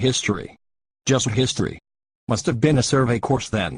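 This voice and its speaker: A man growls in a put-on character voice at medium pitch. His loudness stays very even at a moderate pace. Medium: short film. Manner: pedantic, condescending.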